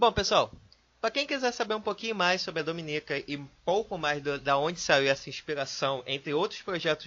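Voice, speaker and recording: This is a normal speaking voice with lively intonation. The pace is fairly quick. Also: man. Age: 20s. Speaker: podcast host. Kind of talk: casual chat.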